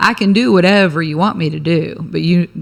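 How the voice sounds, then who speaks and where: This woman, in an American accent, has a very deep, low pitch. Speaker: attorney and business owner. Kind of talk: casual interview chat. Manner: fast.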